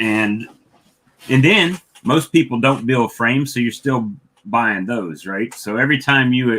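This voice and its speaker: This man has a Southern US accent and a bright, sharp tone at a medium pitch. He talks at a fairly slow pace with lively intonation. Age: 50s. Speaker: beekeeper. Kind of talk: casual chat. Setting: livestream.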